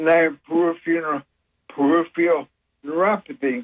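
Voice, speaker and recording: A man's high-pitched voice at a moderate pace. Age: 70s. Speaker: caller. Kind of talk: radio call-in question.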